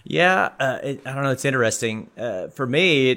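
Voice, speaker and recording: Heard in a very clean recording with a silent background, a man talks at a fairly quick pace. He has an Arkansas accent and a bright, sharp tone. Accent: Arkansas Southern US. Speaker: technology park director. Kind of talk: casual interview. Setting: in-person, at the technology park. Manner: halting, many fillers.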